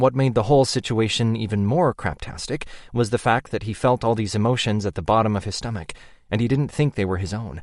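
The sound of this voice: An unforced reading voice shifts with ordinary pitch variation.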